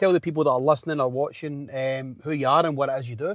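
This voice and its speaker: In a dry, close sound with no echo, a man with a Glasgow accent speaks at a fairly high pitch. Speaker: podcast host. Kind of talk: casual interview chat. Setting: in a parked car.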